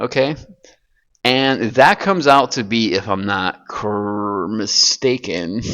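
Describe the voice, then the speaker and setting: With ordinary pitch variation, this man speaks very slowly. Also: medium pitch for a man. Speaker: science lecturer. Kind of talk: lecture. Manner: halting.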